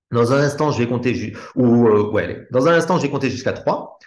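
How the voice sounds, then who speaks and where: Medium in pitch, a man's voice carries audible room echo. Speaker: hypnosis trainer. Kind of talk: live teaching session.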